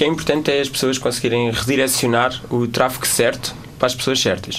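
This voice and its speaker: With noticeable background noise behind him, a man of medium pitch talks at a fairly quick pace. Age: 20s. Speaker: social media and tech guest. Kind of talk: casual interview.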